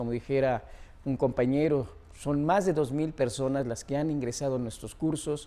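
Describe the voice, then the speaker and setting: A man speaks with a central Mexican accent and a dark, mellow tone. His pace is moderate, with ordinary pitch variation. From Mexico, Puebla. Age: 70s. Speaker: mountaineer and expedition leader. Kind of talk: monologue interview.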